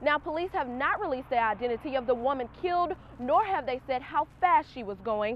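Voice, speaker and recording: A high-pitched woman at a fairly quick pace, lively in intonation with hardly any pauses, over noticeable background noise. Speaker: TV news reporter. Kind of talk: TV news report.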